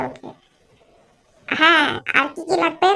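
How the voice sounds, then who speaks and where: A woman performs a cartoonish character voice. Her pace is moderate. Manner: whiny, comic grumbling.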